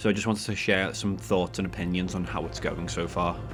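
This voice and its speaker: Lively intonation from a man with a British accent, his very deep, low voice full of vocal fry, at a fairly quick pace. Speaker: gaming YouTuber. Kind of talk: opinion video commentary.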